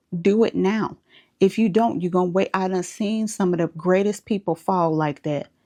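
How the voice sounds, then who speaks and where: A woman with an American accent speaks at a moderate pace and medium pitch, with ordinary pitch variation and a dark, mellow tone, in a dry, close sound with no echo and a quiet background. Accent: Southern US, comes out when passionate. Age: 30s. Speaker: spiritual advice vlogger. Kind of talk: motivational monologue. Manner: animated.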